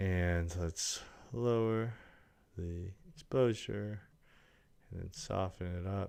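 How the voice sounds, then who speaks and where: A man speaks very slowly in a very deep, low voice with ordinary pitch variation. Long, frequent pauses break up his speech. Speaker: video editor streamer. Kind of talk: live-streamed editing tutorial. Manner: casual, repetitive muttering.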